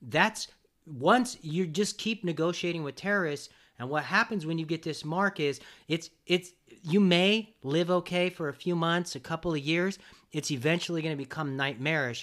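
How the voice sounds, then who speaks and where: At a moderate pace, a man speaks with a high pitch and ordinary pitch variation in a very clean recording with a silent background. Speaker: podcast host. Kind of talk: casual conversation. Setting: in person, shared mics. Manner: loud.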